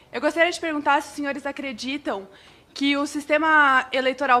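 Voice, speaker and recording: Speaking fairly quickly in a raised, projected voice, a woman uses a high pitch and a bright, sharp tone, with ordinary pitch variation. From Campinas, São Paulo, Brazil. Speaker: university student intern. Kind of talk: audience question. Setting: parliament committee room, microphone. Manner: formal.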